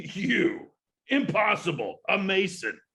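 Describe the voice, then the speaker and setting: Doing a put-on character voice, a man speaks fairly slowly in a raised, projected voice. His high pitch swings very widely. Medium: stage play. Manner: arrogant, scoffing.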